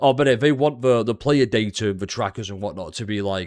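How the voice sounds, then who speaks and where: A man is speaking. He has a British accent. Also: very clean recording, silent background. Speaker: gaming video creator. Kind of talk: casual commentary. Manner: sarcastic.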